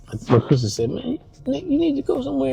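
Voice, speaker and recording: A man speaking at a moderate pace, with music in the background. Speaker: vlogger. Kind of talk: casual vlog talk. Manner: halting, many fillers.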